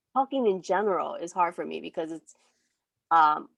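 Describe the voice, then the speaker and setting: A woman speaks at a medium pitch, with music in the background. The sound is dry and close, with no echo. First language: not English. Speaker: artist. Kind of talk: casual chat. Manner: halting, many fillers; stuttering.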